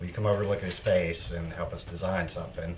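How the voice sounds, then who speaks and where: A man talks at a fairly quick pace. Audible room echo is heard. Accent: Southern US. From Tennessee (Fayetteville). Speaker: metal guitarist and studio owner. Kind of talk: casual interview.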